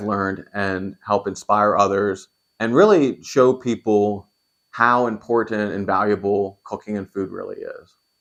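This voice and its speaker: A man talks in a normal speaking voice, fairly low in pitch, at a moderate pace. His intonation is fairly even and the background is quiet. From Pennsylvania, York. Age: 20s. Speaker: cooking YouTuber. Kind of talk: channel introduction monologue.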